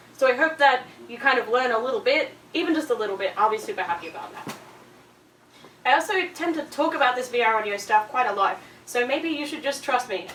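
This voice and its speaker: Over noticeable background noise, a woman talks very fast in a high pitch with an Australian accent and very wide pitch swings. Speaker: audio designer and conference speaker. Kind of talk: presentation. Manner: casual, filler-heavy.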